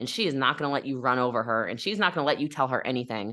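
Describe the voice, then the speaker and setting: Against a quiet background, a woman speaks loudly in an animated, bright, sharp tone. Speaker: network marketer and business coach. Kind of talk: podcast interview.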